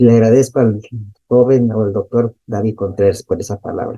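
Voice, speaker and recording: Recorded with a dry, close sound and no echo, a man speaks at a moderate pace in a dark, mellow tone, with medium pitch and fairly even intonation. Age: 70s. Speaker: audience participant, recent graduate. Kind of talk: question and comment.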